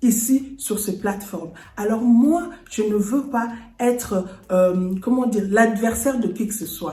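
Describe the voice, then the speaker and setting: A woman with a Congolese accent speaks very slowly at a fairly high pitch, with music in the background and audible room echo. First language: Lingala (speaking French). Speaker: lifestyle and home decor YouTuber. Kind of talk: personal vlog address to viewers. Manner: earnest.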